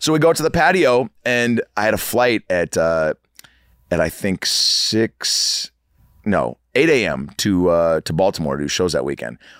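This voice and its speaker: Pitched fairly low, a man talks at a fairly slow pace. His pitch swings very widely. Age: 40s. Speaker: actor and comedian. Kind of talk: casual chat. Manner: animated.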